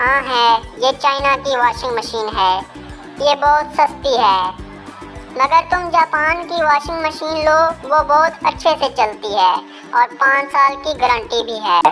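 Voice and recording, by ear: A female-sounding cartoonish character voice, high in pitch, moves at a fairly slow pace over clear music in the background.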